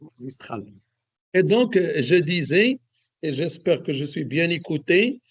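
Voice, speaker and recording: A man speaks at a very slow pace in a high voice. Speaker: economist lecturer. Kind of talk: lecture. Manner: hesitant, many fillers. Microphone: too quiet for some listeners.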